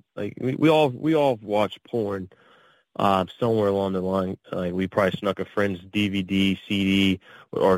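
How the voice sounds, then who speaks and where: Here a man with an American accent uses a plain, everyday voice, fairly low in pitch, at a moderate pace. The recording is very clean, with a silent background. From Pittsburgh area, Pennsylvania. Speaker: adult film performer. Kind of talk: interview.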